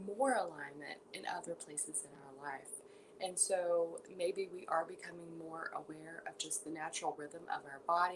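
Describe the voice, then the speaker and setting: A soft-spoken woman talks at a fairly slow pace. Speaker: yoga teacher. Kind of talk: guided meditation. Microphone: quiet audio, listeners told to turn volume up.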